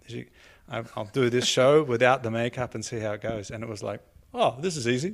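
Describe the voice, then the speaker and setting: A man with an Australian accent at a medium pitch, fairly quick in pace, with ordinary pitch variation, on a very clean recording with a silent background. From Australia, Sydney. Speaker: comedian. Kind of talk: casual chat.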